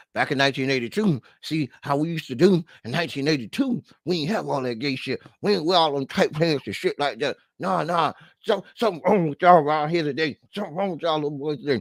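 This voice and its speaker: A man mumbles very fast in a put-on, grumpy character voice pitched fairly high, with lively intonation. The sound is dry and close, with no echo. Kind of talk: slangy, colloquial. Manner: grumpy, complaining.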